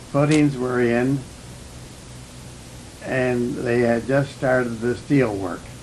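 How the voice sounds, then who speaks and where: Over noticeable background noise, a man talks very slowly with fairly even intonation. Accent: Canadian. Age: 80s+. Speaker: former wartime factory employee and film director. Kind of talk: documentary film voiceover commentary. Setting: old low-quality recording.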